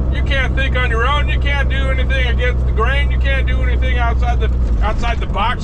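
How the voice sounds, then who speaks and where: A man talks at a fairly quick pace amid loud background noise. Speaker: truck driver. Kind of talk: angry late-night rant mocking rookie truckers. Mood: annoyed, ranting. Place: car. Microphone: camera far.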